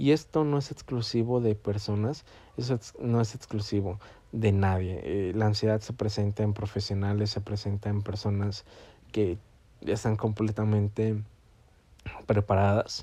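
A man with a fairly low pitch and a dark, mellow tone speaks at a fairly slow pace with fairly even intonation. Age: 20s. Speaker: podcast host. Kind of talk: educational monologue. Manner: halting.

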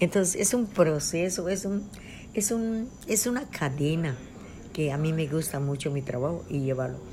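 Somewhat breathy and fairly low in pitch, a woman with a dark, mellow tone speaks at a fairly slow pace with lively intonation, and audible room echo surrounds her. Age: 70s. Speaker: traditional midwife and healer. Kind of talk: interview.

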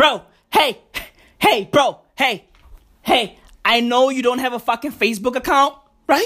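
A man speaks at a fairly slow pace in a raised, projected voice with an extremely high pitch and long, frequent pauses. His tone is animated, bright and sharp, with ordinary pitch variation. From South Africa. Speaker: comedy podcast host. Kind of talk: comedic monologue.

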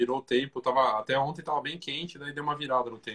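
This man talks at a fairly quick pace in a normal speaking voice of medium pitch, with a dry, close sound and no echo. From Brazil, Curitiba. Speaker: podcast host and photography business educator. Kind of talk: casual interview chat. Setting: Instagram live video call.

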